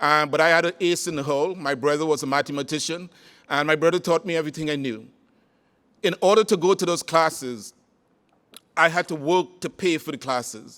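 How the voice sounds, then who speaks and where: With a Caribbean accent, a man talks at a fairly quick pace and a fairly high pitch, ordinary in its variation, broken by long, frequent pauses. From Trinidad. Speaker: conference speaker, former college president. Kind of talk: keynote talk.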